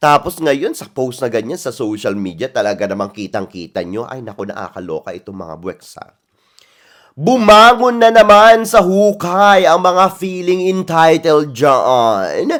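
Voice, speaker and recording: Animated, fairly slow delivery with very wide pitch swings and big swings in loudness. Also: man, high pitch for a man. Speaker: pageant commentary vlogger. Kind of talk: casual vlog commentary.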